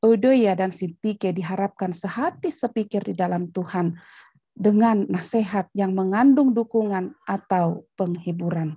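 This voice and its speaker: Over a quiet background, a woman speaks at a fairly slow pace in a somewhat breathy, dark, mellow tone. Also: ordinary pitch variation. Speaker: theology school head, pastor; pastor. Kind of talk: lecture. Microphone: video call.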